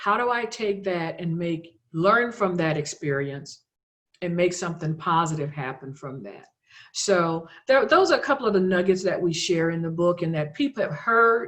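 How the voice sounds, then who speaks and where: A woman's ordinary speaking voice, fairly low in pitch, with lively intonation at a moderate pace. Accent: American. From US South, South Louisiana. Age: 60s. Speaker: author and health care administrator. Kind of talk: podcast interview, personal testimony.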